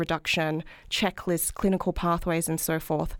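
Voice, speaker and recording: A woman speaks at a moderate pace with an Australian accent. The recording is very clean, with a silent background. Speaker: health policy researcher. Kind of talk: interview.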